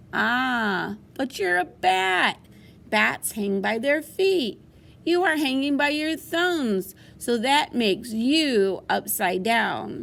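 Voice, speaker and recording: A put-on character voice speaks at a very slow pace. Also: woman, high pitch for a woman. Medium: read story.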